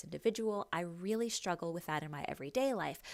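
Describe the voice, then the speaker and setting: Very fast speech comes from a woman with a fairly low pitch and ordinary pitch variation. The recording is very clean, with a silent background. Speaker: online English teacher. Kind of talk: casual vlog monologue. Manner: animated when teaching.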